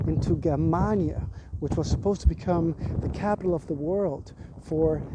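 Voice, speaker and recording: Over noticeable background noise, a man talks at a fairly quick pace with ordinary pitch variation, the sound dry with no echo. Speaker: tour guide. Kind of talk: guided tour commentary. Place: street. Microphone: earbuds.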